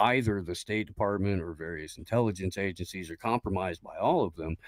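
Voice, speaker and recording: A man speaks with a very deep, low pitch. The sound is dry and close, with no echo. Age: 40s. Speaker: political streamer. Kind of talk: heated debate. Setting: online panel stream.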